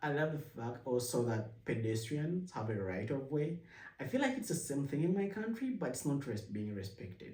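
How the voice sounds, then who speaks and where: The voice moves at a moderate pace with very wide pitch swings, and audible room echo surrounds it. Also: man, fairly high pitch for a man. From Uganda. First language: Luganda. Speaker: vlogger, immigrant and former international student. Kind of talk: casual talk to camera. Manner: halting, with self-corrections.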